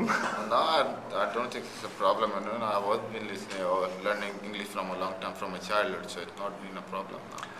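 With a Pakistani accent, a man speaks at a fairly quick pace with hardly any pauses over noticeable background noise. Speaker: cricketer. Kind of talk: interview answer. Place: home room.

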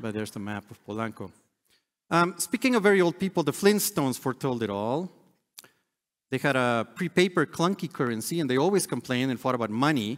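A man talks at a fairly quick pace with very wide pitch swings and big swings in loudness over a quiet background. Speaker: finance expert; conference speaker. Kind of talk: public talk. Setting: stage with audience. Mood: light, humorous. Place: stage. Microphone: headset.

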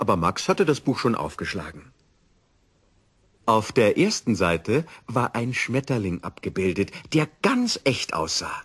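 A man with a slightly husky edge and fairly bright tone, at a fairly slow pace, with very wide pitch swings. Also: fairly low pitch for a man.

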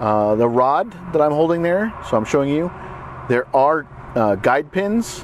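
Moderate pace from a man, with light background noise and a dry sound with no echo. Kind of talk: tutorial. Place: garage. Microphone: phone near.

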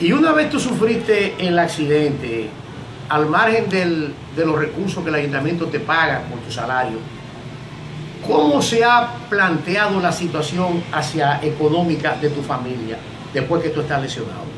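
Lively intonation carries a fairly slow delivery over noticeable background noise. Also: man, fairly high pitch for a man. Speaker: local reporter. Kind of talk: interviewer questions. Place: home room.

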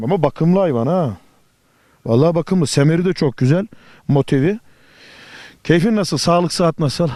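Against a very clean, silent background, a man with a fairly high voice speaks at a moderate pace with lively intonation and long, frequent pauses. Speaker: TV travel show host. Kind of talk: TV travel show presenting, street interview. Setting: outdoors. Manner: upbeat, cheerful.

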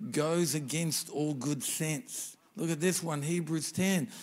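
Speaking at a fairly slow pace, a man keeps to ordinary pitch variation. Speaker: preacher. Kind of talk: sermon. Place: church. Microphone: headset.

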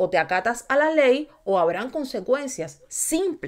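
Speaking fairly slowly, a woman uses an animated tone with very wide pitch swings. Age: 30s. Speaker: YouTube true crime streamer. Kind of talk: livestream commentary. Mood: indignant, emphatic. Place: home room. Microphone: studio mic.

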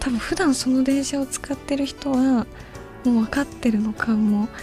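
Clear music plays behind a woman with a high-pitched voice and ordinary pitch variation. The sound is dry, without echo. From Kansai, Japan. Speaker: voice actress and idol. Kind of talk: late-night radio talk. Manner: casual, hesitant. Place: studio. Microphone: studio mic.

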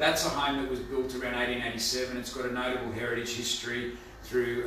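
Moderate-paced male speech with strong room echo and noticeable background noise. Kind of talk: market update talk to camera. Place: office. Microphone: camera far.

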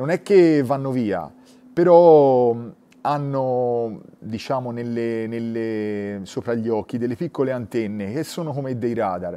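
A man's dark, mellow tone at a very slow pace. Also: medium pitch for a man, ordinary pitch variation. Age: 40s. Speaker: nature photographer. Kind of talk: interview. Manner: halting, with repetitions and fillers. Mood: enthusiastic storytelling. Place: studio.

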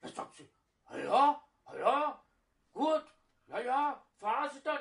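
A man with a Swabian accent speaks at an extremely high pitch. His pace is very slow, with ordinary pitch variation. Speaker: baker. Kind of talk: casual anecdote storytelling.

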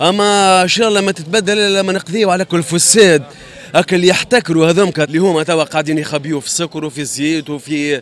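Over background music, a man with a high voice speaks in a dry recording with no echo. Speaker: interviewee. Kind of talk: interview answer. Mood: critical, complaining about prices. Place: market. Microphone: handheld.

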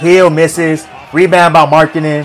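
At a very slow pace, a man with a fairly high voice speaks in a monotone, flat intonation. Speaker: sports reaction YouTuber. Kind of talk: casual play-by-play reaction commentary over game highlights. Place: home room. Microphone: webcam.

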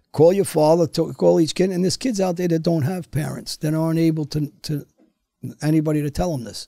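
A man with a New York accent speaks at a fairly quick pace and fairly high pitch with ordinary pitch variation. His tone is dark and mellow, and the sound is dry with no echo over a quiet background. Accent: New York (Queens). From New York City (Queens); New York City. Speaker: former mob enforcer, motivational speaker; motivational speaker. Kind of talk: interview storytelling. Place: studio. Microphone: studio mic.

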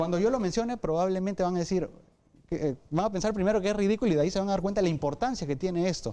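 A high-pitched male voice with a dark, mellow tone. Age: 20s. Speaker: psychologist and public policy advocate; council guest. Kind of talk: debate. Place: studio. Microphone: lapel.

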